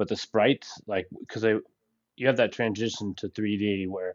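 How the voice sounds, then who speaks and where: This man has a normal speaking voice at a fairly low pitch and talks at a moderate pace. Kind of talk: casual chat. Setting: live stream. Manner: profane.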